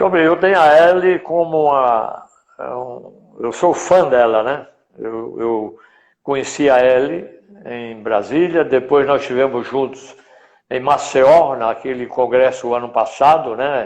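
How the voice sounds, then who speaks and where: A man talks at a medium pitch and a fairly slow pace. His pitch variation is ordinary. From Rio Grande do Norte, Brazil. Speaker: veterinarian, professional council president. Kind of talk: interview. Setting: online live stream.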